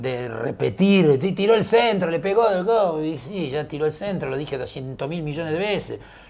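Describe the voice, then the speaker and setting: With an Argentine accent, a man speaks at a moderate pace and a fairly high pitch. His intonation is lively and he hardly pauses. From Argentina, Buenos Aires. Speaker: football commentator, former footballer. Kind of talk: casual interview chat. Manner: animated, theatrical; halting, repetitive.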